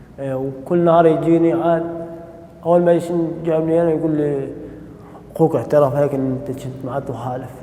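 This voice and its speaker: A man talks at a fairly slow pace with fairly even intonation. There is audible room echo and noticeable background noise. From Syria, Raqqa. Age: 20s. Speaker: former prisoner. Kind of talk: testimony. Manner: halting.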